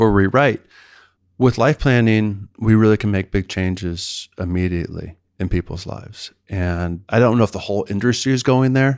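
A normal speaking voice with an American accent at a moderate pace, ordinary pitch variation, and a dry, close sound with no echo on a very clean recording with a silent background. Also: man, fairly low pitch for a man. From US East Coast, outside Washington, D.C. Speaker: financial planner. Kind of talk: interview.

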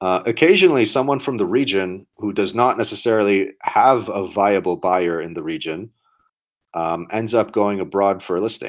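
A man's unremarkable speaking voice, fairly low in pitch, with ordinary pitch variation at a moderate pace on a very clean recording with a silent background. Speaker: podcast co-host, startup investing talk. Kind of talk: casual chat.

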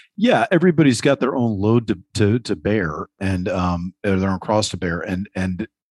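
An unremarkable speaking voice at a moderate pace with ordinary pitch variation, dry and close with no echo, over a quiet background. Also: man. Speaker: podcast host. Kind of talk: roundtable discussion.

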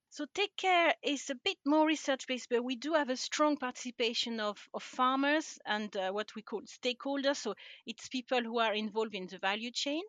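A woman with a French accent, high-pitched and lively in intonation, at a fairly quick pace with hardly any pauses. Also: dry, close sound with no echo. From France. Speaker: livestock scientist. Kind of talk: interview.

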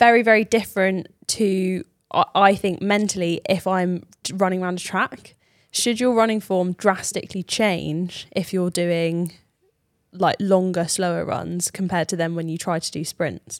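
Speaking at a fairly slow pace with a British accent, a woman keeps a medium pitch and fairly even intonation, the sound dry and close with no echo. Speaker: podcast co-host, amateur runner. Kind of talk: casual chat. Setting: studio.

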